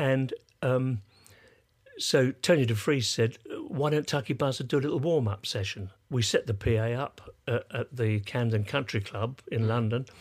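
A man speaks with an English accent at a medium pitch. His voice is somewhat breathy, at a moderate pace. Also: ordinary pitch variation. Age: 80s+. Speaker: musician and sound engineer. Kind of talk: casual chat.

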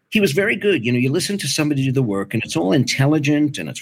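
This voice carries an American accent. Its pitch swings very widely. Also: man. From US Northeast. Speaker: audiobook narrator and acting teacher. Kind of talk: casual chat. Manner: animated.

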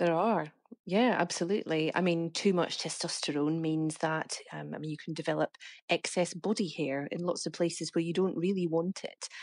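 The background stays quiet. An unremarkable speaking voice keeps a moderate pace and fairly even intonation. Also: woman, fairly low pitch for a woman. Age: 40s. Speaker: health reporter. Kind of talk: interview.

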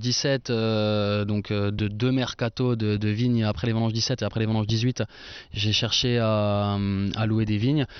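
A man speaks at a moderate pace in a flat, monotone delivery. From Franche-Comté, eastern France. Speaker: winemaker. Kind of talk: casual chat. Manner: hesitant, many fillers.

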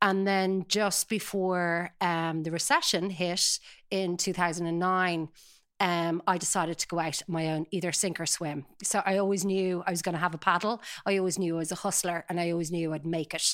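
With a Dublin accent, a woman speaks at a moderate pace and a fairly low pitch, in a monotone, flat intonation. The recording is very clean, with a silent background. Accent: Dublin Irish. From Ireland, Dublin (Sutton). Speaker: talent agency founder. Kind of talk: interview.

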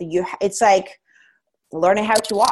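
At a moderate pace, a woman with a non-native accent speaks at a medium pitch. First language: not English. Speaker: strength coach and powerlifter. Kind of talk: casual interview chat.

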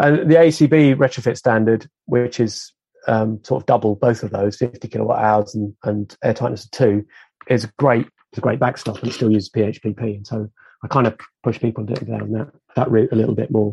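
A man's dark, mellow voice with vocal fry at a moderate pace, in a dry, close sound with no echo. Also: medium pitch for a man, ordinary pitch variation. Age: 50s. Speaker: retrofit consultant. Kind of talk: casual chat.

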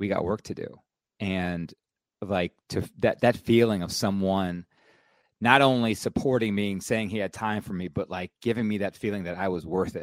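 A man has a normal speaking voice at a fairly low pitch, with fairly even intonation and a moderate pace. The sound is dry and close with no echo, in a very clean recording with a silent background. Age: 40s. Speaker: podcast host. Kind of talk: casual chat.

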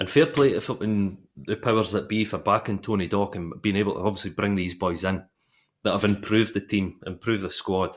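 A man speaks at a fairly quick pace with a Dundee accent, his pitch fairly low and its variation ordinary. The recording is very clean, with a silent background. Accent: Scottish (Dundee). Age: 30s. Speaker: football podcast co-host. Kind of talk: casual chat.

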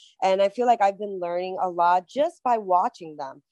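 Against a quiet background, a woman with a New York accent speaks at a moderate pace and medium pitch with fairly even intonation. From Queens, New York. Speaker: pro wrestler. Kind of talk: casual interview.

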